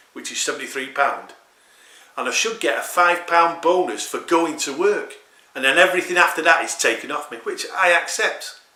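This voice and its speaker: Room echo is audible as a man speaks at a moderate pace. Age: 60s. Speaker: video diarist. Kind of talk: personal video diary monologue. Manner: agitated, profane.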